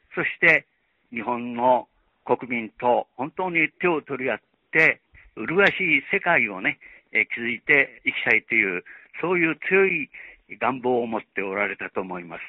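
Speaking in a Chinese accent, a man of medium pitch talks at a fairly slow pace with very wide pitch swings and long, frequent pauses. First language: Chinese (speaking Japanese). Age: 80s+. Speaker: retired journalist. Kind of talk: tribute testimony.

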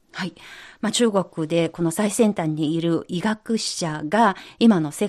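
Quiet background, a woman's voice, ordinary pitch variation. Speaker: radio host. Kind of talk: radio program presenting. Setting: studio.

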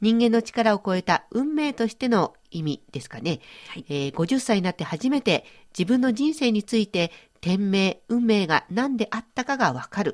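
A woman with fairly high pitch and very wide pitch swings speaks at a moderate pace, the sound dry and close with no echo against a quiet background. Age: 50s. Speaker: radio host. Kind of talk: educational radio talk.

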